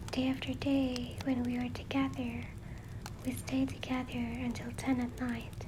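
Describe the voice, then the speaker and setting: A woman at a fairly slow pace, over noticeable background noise. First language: not English. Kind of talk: first-person reading of a letter paraphrased in modern spoken language. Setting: home recording with fireplace sound in background.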